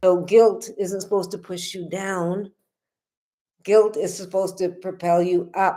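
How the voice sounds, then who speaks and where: A woman at medium pitch speaks at a fairly slow pace in a dark, mellow tone, with monotone, flat intonation and big swings in loudness. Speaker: spiritual healing teacher. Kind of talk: livestream talk. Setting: livestream at home in apartment. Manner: casual, conversational.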